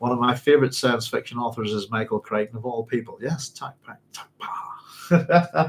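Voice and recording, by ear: Medium in pitch, this man's voice sounds somewhat breathy.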